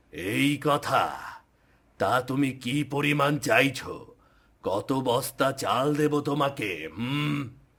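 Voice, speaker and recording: A man's cartoonish character voice at a fairly high pitch, with ordinary pitch variation and a very slow pace. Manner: imperious, commanding.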